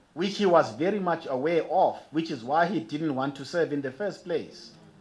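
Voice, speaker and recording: Amid noticeable background noise, a man speaks quickly enough, fairly high in pitch and with lively intonation. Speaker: archbishop, preacher. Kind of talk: sermon.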